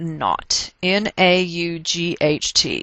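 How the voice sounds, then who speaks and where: In a Texas accent, a woman speaks with fairly even intonation. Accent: Texas twang. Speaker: chemistry teacher. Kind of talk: casual lecture. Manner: explanatory, instructional.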